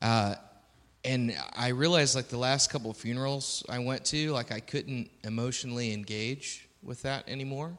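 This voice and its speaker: A plain, everyday voice moves at a moderate pace on a very clean recording with a silent background. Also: man, medium pitch for a man. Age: 30s. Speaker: audience member asking questions. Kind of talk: audience question at live event. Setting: church stage with live audience.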